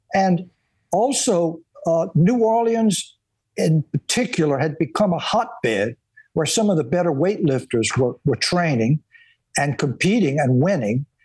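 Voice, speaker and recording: At a fairly slow pace and very even loudness, a man with a Louisiana accent speaks in a high pitch with very wide pitch swings, in a dry, close sound with no echo. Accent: Southern US, Louisiana. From US, South Louisiana. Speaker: historian and author. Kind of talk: interview.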